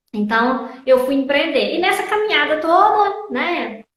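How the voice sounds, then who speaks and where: Audible room echo surrounds a woman with a Minas Gerais accent. She talks at a fairly slow pace with lively intonation. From Minas Gerais, Brazil. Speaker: logistics teacher and consultant. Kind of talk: interview.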